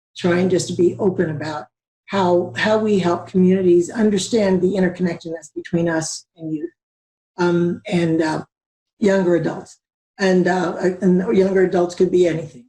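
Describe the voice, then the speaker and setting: A woman with a fairly low pitch and a dark, mellow, somewhat breathy tone speaks at a moderate pace with fairly even intonation. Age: 60s. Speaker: community organizer. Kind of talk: panel discussion. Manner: halting.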